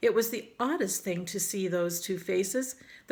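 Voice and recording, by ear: Someone is reading aloud in a natural voice.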